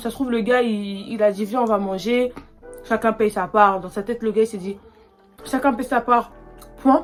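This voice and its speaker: Music plays behind a woman with a fairly high pitch. She speaks at a moderate pace with ordinary pitch variation. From Congolese and Angolan background. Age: 20s. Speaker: YouTuber. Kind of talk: casual talk to camera.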